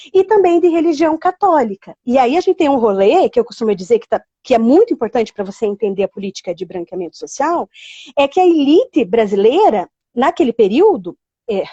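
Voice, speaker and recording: A woman with a high voice speaks fairly quickly. Her pitch rises and falls over a very wide range. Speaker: teacher. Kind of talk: online live lesson. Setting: livestream.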